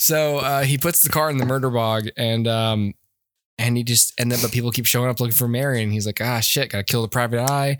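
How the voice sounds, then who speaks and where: A man's medium-pitched voice at a very fast pace, with fairly even intonation, very even loudness and a very clean recording with a silent background. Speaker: podcast host, movie reviewer. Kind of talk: casual chat, movie review podcast.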